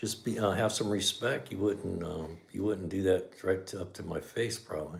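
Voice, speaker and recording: A man speaks with a very deep, low pitch in a relaxed tone. His voice is somewhat breathy. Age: 60s. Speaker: garage channel host, mechanic. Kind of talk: casual livestream chat. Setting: livestream. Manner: relaxed, conversational.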